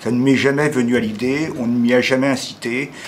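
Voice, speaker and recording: Recorded with audible room echo and noticeable background noise, a man talks at a medium pitch. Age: 70s. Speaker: amateur theatre student. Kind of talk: testimony. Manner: halting.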